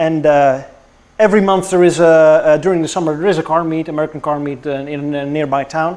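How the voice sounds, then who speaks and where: A man is talking at a fairly quick pace. His pitch is fairly high. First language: not English. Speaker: car YouTuber. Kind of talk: casual chat. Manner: halting.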